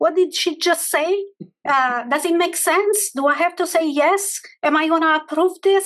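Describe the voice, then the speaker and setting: This woman talks at a moderate pace with a non-native accent. The background is quiet. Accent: foreign. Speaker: financial executive, panelist. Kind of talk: panel discussion.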